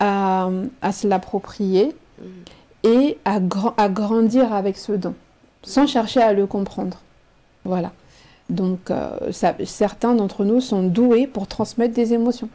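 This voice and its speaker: Pausing long and often, a woman with a medium pitch and a dark, mellow tone speaks at a very slow pace with fairly even intonation. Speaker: teacher and writer. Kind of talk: radio interview answer. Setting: studio.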